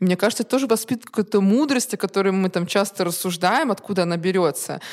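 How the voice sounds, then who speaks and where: A woman has an unremarkable speaking voice with medium pitch and ordinary pitch variation. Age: 20s. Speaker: co-founder of a resale platform. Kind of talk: interview.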